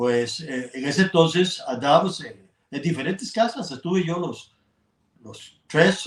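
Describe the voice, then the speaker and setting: A man with a Costa Rican accent at a fairly high pitch and a fairly slow pace. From Costa Rica, Atenas. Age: 80s+. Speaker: journalist and sports broadcaster. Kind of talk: interview. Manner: halting.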